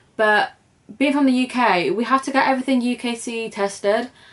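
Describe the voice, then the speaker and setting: Using ordinary pitch variation, a woman with a British accent speaks at a moderate pace and fairly high pitch. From UK. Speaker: crochet vlogger. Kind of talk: casual vlog introduction. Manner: chatty, informal.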